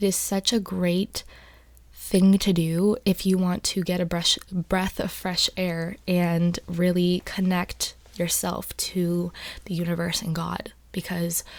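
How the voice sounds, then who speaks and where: Soft-spoken and fairly low-pitched, a woman speaks very slowly in a flat monotone. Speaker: ASMR content creator. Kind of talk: casual talk to camera, advice discussion.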